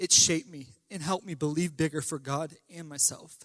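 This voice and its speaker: Speaking in a plain, everyday voice, a man keeps a fairly high pitch and fairly even intonation. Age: 20s. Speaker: pastor. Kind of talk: farewell testimony; sermon.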